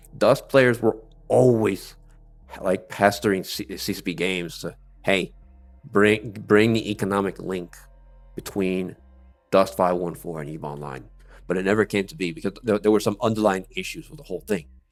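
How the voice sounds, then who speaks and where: Over background music, a fairly low-pitched man talks at a moderate pace with ordinary pitch variation, big swings in loudness, and long, frequent pauses. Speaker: gaming YouTuber. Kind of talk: video commentary review. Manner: halting, repetitive.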